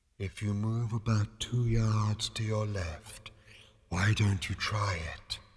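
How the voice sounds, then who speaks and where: A soft-spoken man in a put-on character voice, fairly low in pitch, monotone and flat, at a fairly slow pace. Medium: read story. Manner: calm, soft-spoken.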